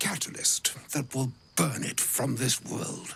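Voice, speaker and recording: The pace is very slow. A man delivers the lines in a put-on character voice. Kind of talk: formal, poetic diction. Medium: video game. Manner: archaic, grandfatherly, hesitant asides.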